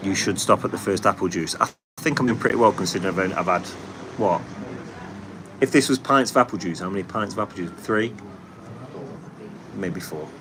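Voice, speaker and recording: With a Nottingham accent and a fairly low pitch, a man talks at a fairly quick pace with ordinary pitch variation and long, frequent pauses, over noticeable background noise. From England, Nottingham. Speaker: paving contractor and livestream host. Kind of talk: casual livestream chat reading comments. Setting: live stream.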